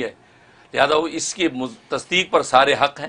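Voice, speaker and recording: Bright and sharp in tone, a man's voice carries fairly even intonation. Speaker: guest. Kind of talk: interview answer. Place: studio.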